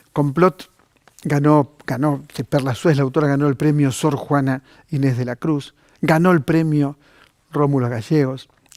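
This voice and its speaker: Fairly high in pitch with fairly even intonation, a man with an unremarkable speaking voice talks at a fairly slow pace, the sound dry and close with no echo. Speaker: TV cultural program host. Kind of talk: TV book recommendation segment.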